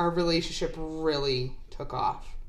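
Audible room echo fills the recording. Through it, a woman talks. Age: 30s. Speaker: podcast co-host, aspiring actress. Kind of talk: casual chat. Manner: giggly, laughing often.

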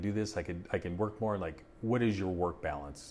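A man with a normal speaking voice talks at a fairly low pitch. His pitch varies in an ordinary way. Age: 50s. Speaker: firefighter and union rep. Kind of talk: casual chat.

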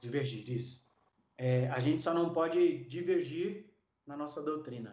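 This man speaks at a fairly slow pace, and audible room echo follows his words. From Brazil, São Paulo. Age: 40s. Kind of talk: interview; sermon.

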